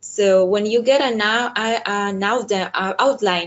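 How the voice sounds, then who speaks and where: A woman talks at a very slow pace with a Spanish accent. Her intonation stays fairly even. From El Salvador. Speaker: diplomat. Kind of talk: webinar talk. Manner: halting, with many fillers and repetitions.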